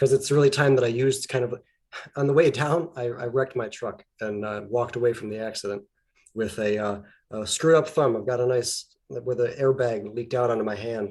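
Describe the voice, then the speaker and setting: A man with a Canadian accent speaks at a fairly quick pace and a medium pitch. He has an unremarkable speaking voice with fairly even intonation. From Canada, Alberta. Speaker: guest artist and rune practitioner. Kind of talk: casual chat.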